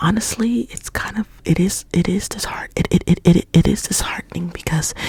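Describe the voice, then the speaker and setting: At a fairly slow pace, someone is whispering while noticeable background noise carries on behind. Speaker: ASMR artist. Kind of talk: ASMR ramble, up close ear to ear. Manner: repetitive, stuttering trigger words.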